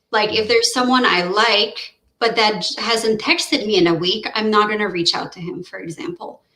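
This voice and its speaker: This voice has a Quebec accent and lively intonation. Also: woman. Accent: French Canadian accent in English. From French-speaking Canada (Quebec area), Romanian family. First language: French. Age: 30s. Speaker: researcher. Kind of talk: casual chat. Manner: halting, many fillers and restarts.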